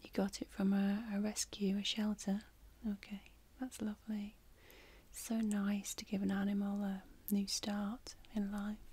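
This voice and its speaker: Soft-spoken and somewhat breathy, the voice has a warm tone and a monotone, flat intonation at a fairly slow pace. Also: woman. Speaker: ASMR creator playing a pet shop clerk. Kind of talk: soft-spoken role-play chat. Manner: soft, warm ASMR close-mic voice. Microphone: studio mic.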